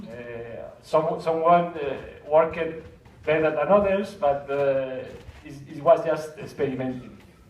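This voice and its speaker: With a Spanish accent, a man with a fairly high voice speaks at a moderate pace with long, frequent pauses, ordinary pitch variation and big swings in loudness, in a room with audible echo and noticeable background noise. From Spain. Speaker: 360 video filmmaker. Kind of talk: conference talk. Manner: halting, many repetitions and fillers.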